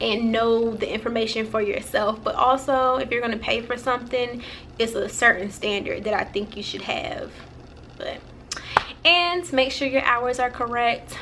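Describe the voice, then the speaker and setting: Her voice sits high, with ordinary pitch variation. Noticeable background noise runs behind the woman speaking. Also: moderate pace. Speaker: vlogger. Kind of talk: casual vlog. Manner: halting, many fillers.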